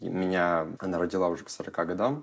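Very deep and low, a man's voice shows ordinary pitch variation. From Russia, Irkutsk region (Siberia). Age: 20s. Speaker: casting director and TikTok creator. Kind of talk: personal testimony.

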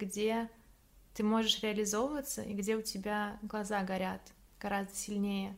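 Intonation is fairly even. The speech moves at a moderate pace. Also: woman. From Russia, Samara. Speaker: photographer, former parliament staffer. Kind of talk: casual interview.

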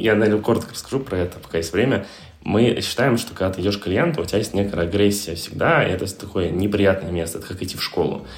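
A man at a very fast pace, fairly low in pitch, with ordinary pitch variation. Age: 20s. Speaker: co-founder of a digital marketing agency. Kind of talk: interview.

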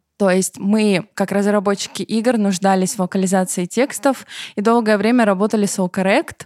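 In a dry, close sound with no echo, a woman speaks in a normal speaking voice at medium pitch and a moderate pace, with fairly even intonation and very even loudness. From southern Russia, Rostov-on-Don. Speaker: middle manager. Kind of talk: casual chat.

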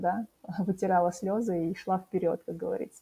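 This woman's voice is somewhat breathy. Her tone is dark and mellow. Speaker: career coach. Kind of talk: interview. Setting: studio.

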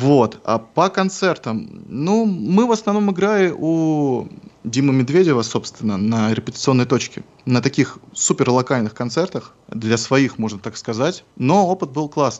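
Speaking at a fairly slow pace, a man with a fairly high pitch moves through very wide pitch swings. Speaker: rock musician. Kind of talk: radio interview. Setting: Skype call.

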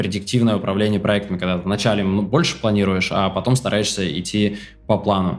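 Music plays in the background as a man speaks. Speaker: project management educator, online school founder. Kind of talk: casual interview.

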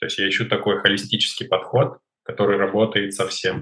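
This man's voice sits at a fairly low pitch with a bright, sharp tone. His intonation stays fairly even. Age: 20s. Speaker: fitness trainer. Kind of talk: interview.

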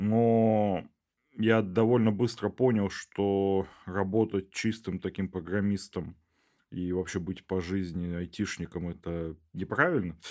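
On a very clean recording with a silent background, a man speaks at a very slow pace in a fairly low voice with fairly even intonation. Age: 20s. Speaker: bioinformatics researcher and PhD student. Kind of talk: casual interview chat.

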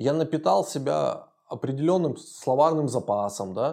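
A man's fairly high-pitched voice, dark and mellow in tone, with lively intonation. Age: 40s. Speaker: podcast co-host, father and businessman. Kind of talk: casual chat.

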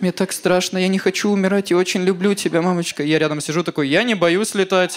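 A man with a high voice talks very fast in a fairly even tone over noticeable background noise. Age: 20s. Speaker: stand-up comedian. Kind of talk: stand-up.

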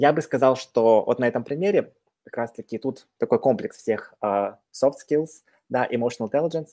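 In a very clean recording with a silent background and a dry, close sound with no echo, a man speaks at a moderate pace with a dark, mellow tone, fairly high pitch and ordinary pitch variation. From Kazakhstan. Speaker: career consultant. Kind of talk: casual chat.

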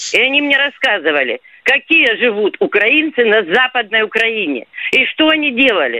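This woman has a high voice that swings very widely in pitch while her loudness stays very even. She talks at a moderate pace. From southern Russia, Rostov region / Kuban. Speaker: radio caller. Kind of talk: radio phone-in call.

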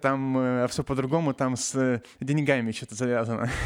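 A man speaks at a medium pitch and a moderate pace. The recording is very clean with a silent background and a dry, close sound with no echo. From Novosibirsk, Russia. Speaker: nanotechnologist, science popularizer. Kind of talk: casual chat. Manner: halting, many fillers.

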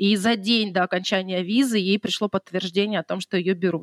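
Her voice an ordinary speaking voice at medium pitch, a woman talks at a moderate pace with ordinary pitch variation, the sound dry and close with no echo. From Russian Far East, Khabarovsk. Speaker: wedding decorator. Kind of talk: casual interview chat.

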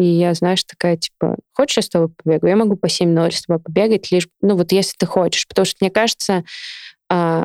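Here a woman with a normal speaking voice talks at a fairly low pitch and moderate pace, with fairly even intonation. The sound is dry and close, with no echo. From Siberia, Novosibirsk (Akademgorodok). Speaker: amateur runner. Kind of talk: casual chat.

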